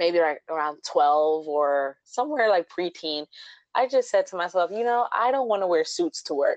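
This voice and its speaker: At a medium pitch, a woman's voice moves through very wide pitch swings. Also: moderate pace. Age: 30s. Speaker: DIY blogger. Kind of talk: casual chat.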